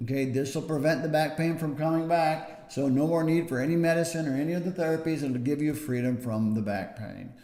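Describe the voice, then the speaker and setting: Over music in the background, a man with a fairly high voice talks at a very fast pace with hardly any pauses and ordinary pitch variation. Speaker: back pain clinician. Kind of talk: educational talk to camera.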